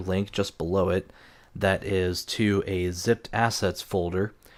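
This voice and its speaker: In a very clean recording with a silent background, a man speaks quietly at a fairly low pitch. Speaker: game development tutorial maker. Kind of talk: tutorial. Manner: quiet, keeping voice down; hesitant, many fillers.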